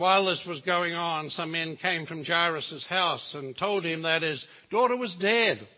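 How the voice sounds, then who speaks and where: In a New Zealand accent, a man speaks at a moderate pace, his high pitch moving with ordinary variation. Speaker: visiting preacher. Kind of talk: sermon. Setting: church.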